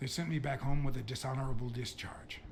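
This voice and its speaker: Over clear background noise, a man does a raspy, put-on character voice at a medium pitch and a very fast pace. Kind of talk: hard-boiled noir dialogue. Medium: video game. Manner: gruff, measured.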